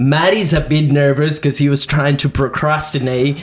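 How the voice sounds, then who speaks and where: At a moderate pace, a man talks with a Venezuelan accent. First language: Spanish. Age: 20s. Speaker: podcast co-host. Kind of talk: casual chat. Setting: studio with microphones.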